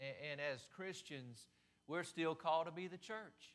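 This man speaks at a moderate pace. His pitch variation is ordinary. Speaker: preacher. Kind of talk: sermon. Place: church. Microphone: podium.

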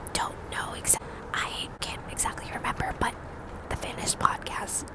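A woman whispers in a breathy voice at a fairly slow pace. The sound is dry with no echo, but loud background noise is present. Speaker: true crime narrator. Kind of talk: casual vlog chat reading case details. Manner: breathy close-mic whisper. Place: street. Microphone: earbuds.

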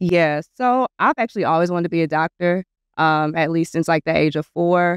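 With an American accent, a woman talks at a moderate pace in a fairly low voice with ordinary pitch variation and very even loudness, the sound dry with no echo and the background quiet. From US South. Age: 30s. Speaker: medical student; podcast guest. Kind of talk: casual chat. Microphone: studio mic.

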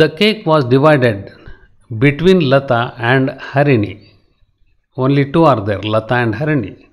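A man with a Karnataka accent speaks at a medium pitch with lively intonation and long, frequent pauses. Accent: Indian English (Kannada). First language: Kannada. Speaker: English grammar tutor. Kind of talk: lecture. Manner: slow, repetitive explanatory.

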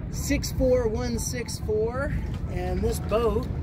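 A very slow-paced man's voice, dry with no echo, against loud background noise. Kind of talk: interview answer. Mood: relaxed, cheerful. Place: boat. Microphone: phone near.

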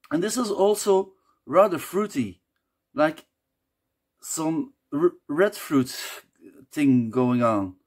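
Over a quiet background, a man goes at a fairly slow pace with ordinary pitch variation. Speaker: beer reviewer. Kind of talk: casual review talk. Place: home room. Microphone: phone near.

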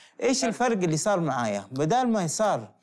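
A man talks at a moderate pace, his pitch swinging very widely against a quiet background. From Saudi Arabia, Jeddah; Saudi Arabia. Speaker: photographer; guest. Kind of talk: interview. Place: studio.

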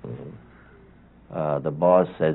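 The man's voice is very deep and low, with fairly even intonation. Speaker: interviewee. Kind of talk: interview answer. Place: office.

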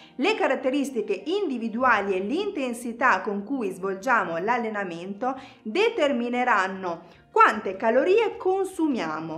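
A high-pitched woman at a fairly slow pace, with very wide pitch swings. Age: 30s. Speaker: fitness instructor. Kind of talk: tutorial; tutorial explanation to viewers. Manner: casual. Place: studio.

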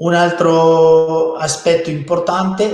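A man with a Spanish accent, audible room echo around his voice. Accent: Spanish-accented Italian. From Spain. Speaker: fertility doctor. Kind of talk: webinar presentation. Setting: online webinar. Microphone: webcam.

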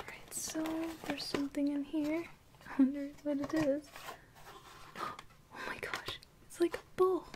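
Soft-spoken delivery with long, frequent pauses comes through noticeable background noise. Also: moderate pace. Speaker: ASMR unboxing creator. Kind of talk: ASMR unboxing, soft-spoken talk to camera. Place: home room.

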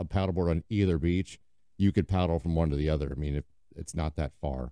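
A man with a very deep, low pitch and a dark, mellow tone talks at a very fast pace with fairly even intonation. The sound is dry with no echo, over a quiet background. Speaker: podcast host. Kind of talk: casual podcast monologue. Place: garage. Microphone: studio mic.

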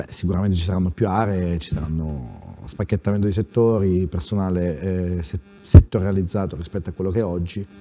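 A man's very deep, low voice at a fairly quick pace, with ordinary pitch variation and faint music in the background. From Abruzzo. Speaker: newly elected provincial president, small-town mayor; small-town mayor. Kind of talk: political talk show interview. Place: studio. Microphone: lapel.

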